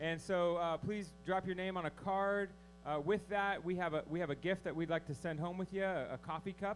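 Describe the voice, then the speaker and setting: Over music in the background, a man talks at a fairly quick pace in a high pitch, his intonation fairly even. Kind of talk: announcements to congregation. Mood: warm, lightly humorous. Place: hall.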